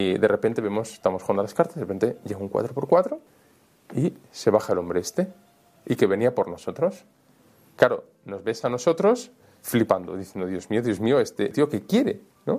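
Long pauses come often in this man's speech. Otherwise his pace is moderate. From Spain (Valencia, Almería, Madrid). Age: young. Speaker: priest and author. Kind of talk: interview storytelling. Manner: casual, colloquial.

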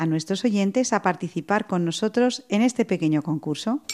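A woman at medium pitch, with a dry, close sound with no echo and noticeable background noise. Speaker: radio host. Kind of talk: radio magazine presenting.

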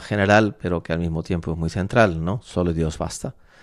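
Heard on a very clean recording with a silent background, a man with a very deep, low pitch uses ordinary pitch variation. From Spain, La Mancha (Valdepeñas, Ciudad Real). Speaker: priest and university rector. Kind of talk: radio interview. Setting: radio studio.

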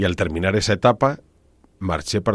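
The intonation is lively. Vocal fry runs through the voice. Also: man. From Spain, Ávila province (Castile). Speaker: priest and church organist. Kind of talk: radio interview. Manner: hesitant, with fillers and repeated words.

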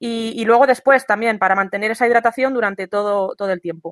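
A high-pitched woman's voice at a fairly quick pace with ordinary pitch variation, dry and close with no echo. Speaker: sports advice contributor. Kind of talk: radio segment, advice. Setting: remote via internet.

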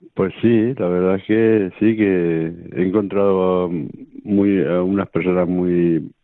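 Here a man speaks in a very deep, low pitch. His intonation stays fairly even. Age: 50s. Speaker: charity program worker. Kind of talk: radio interview testimony. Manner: halting.

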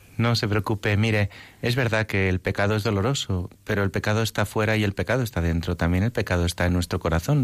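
An unremarkable speaking voice at a moderate pace, fairly even in intonation, on a very clean recording with a silent background. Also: man. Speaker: priest, seminary rector and bishop-elect. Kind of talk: radio interview.

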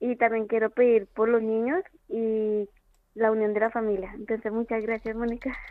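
A woman's fairly high pitch in a monotone, flat intonation at a moderate pace. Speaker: radio caller. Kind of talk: prayer request on phone-in. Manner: natural and fresh.

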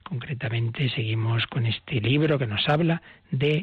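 Recorded with a dry, close sound and no echo, the voice comes across as somewhat breathy. It keeps a moderate pace and ordinary pitch variation. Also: man. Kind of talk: catechism teaching on radio.

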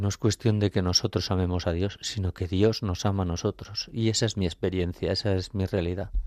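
A man's dark, mellow tone with fairly even intonation, dry and close with no echo. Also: very clean recording, silent background. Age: 50s. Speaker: architect and lay catechist. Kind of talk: faith testimony on radio. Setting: radio studio.

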